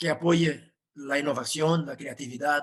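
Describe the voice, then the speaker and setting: This man has a Portuguese accent and a fairly high pitch. He speaks at a fairly slow pace. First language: Portuguese (speaking Spanish). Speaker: professor. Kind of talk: webinar presentation. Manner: halting.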